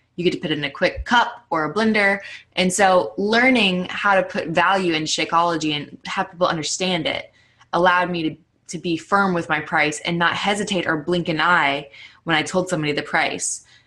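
A woman's fairly low-pitched, normal speaking voice at a fairly quick pace, with ordinary pitch variation. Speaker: fitness coach. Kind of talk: casual chat. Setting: conference call.

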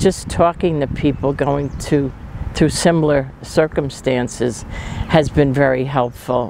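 The voice has ordinary pitch variation and a dry sound with no echo. Noticeable background noise is present. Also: woman. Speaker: visually impaired retreat participant. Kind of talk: interview answer. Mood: calm, reflective. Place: street. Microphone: lapel.

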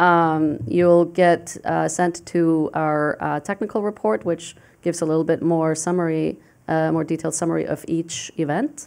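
A fairly low female voice at a moderate pace, with ordinary pitch variation. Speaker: international affairs professor. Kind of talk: panel presentation. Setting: stage with audience. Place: hall. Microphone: podium.

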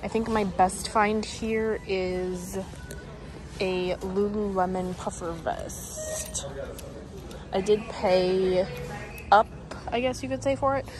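Speaking at a very slow pace with ordinary pitch variation, a woman comes through with a dry sound and no echo over noticeable background noise. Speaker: reseller vlogger. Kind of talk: casual vlog chat. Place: shop. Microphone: phone near.

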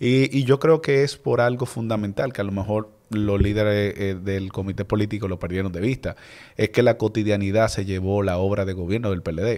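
A man with an ordinary speaking voice and fairly low pitch talks at a moderate pace with ordinary pitch variation against a quiet background. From Dominican Republic. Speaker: political candidate; podcast guest, candidate. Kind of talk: interview. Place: studio. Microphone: studio mic.

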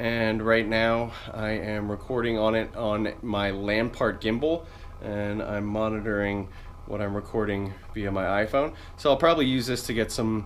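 In a normal speaking voice, a man talks at a moderate pace and fairly low pitch with fairly even intonation, over light background noise. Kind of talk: casual gear walkthrough vlog. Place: home room. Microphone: phone near.

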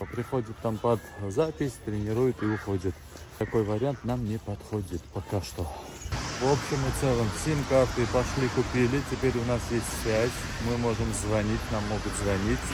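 A man talks at a moderate pace with ordinary pitch variation. The sound is dry with no echo, but loud background noise is present. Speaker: vlogger. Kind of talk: casual vlog chat. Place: street. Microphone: phone near.

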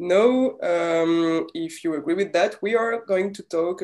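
A woman has an ordinary speaking voice with ordinary pitch variation. She speaks at a fairly slow pace against a quiet background. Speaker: interviewer. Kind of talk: interview. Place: home room. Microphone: earbuds.

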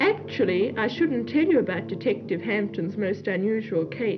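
Intonation is lively and the pace moderate. Noticeable background noise runs underneath. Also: woman, medium pitch for a woman. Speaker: film narrator. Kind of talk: film voice-over narration.

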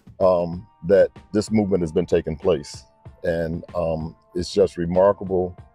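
Over faint music in the background, a man speaks in a very deep, low, monotone voice with flat intonation, at a fairly slow pace with long, frequent pauses, the sound dry with no echo. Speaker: interviewer or guest. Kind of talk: interviewer, casual talk. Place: waterside. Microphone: handheld.

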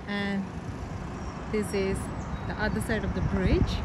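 With clear background noise behind her, a woman speaks slowly at a medium pitch with little pitch movement.

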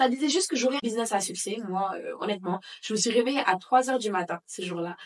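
A woman's voice with ordinary pitch variation. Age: 20s. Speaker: bakery owner and entrepreneur. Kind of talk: casual interview. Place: home room.

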